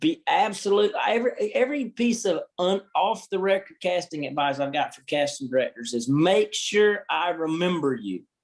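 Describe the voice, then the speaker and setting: The speaker has a Southern US accent and an animated tone. They keep a moderate pace with hardly any pauses. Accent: unique southern. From US South. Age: 20s. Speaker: actor and producer. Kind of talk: casual chat.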